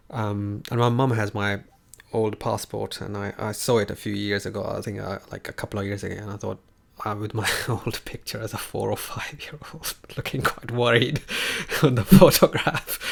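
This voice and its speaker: Through noticeable background noise, a man with a fairly low voice speaks at a moderate pace with fairly even intonation. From Kenya, Nairobi (Indian family). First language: Hindi. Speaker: online tutor. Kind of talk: casual chat. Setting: livestream.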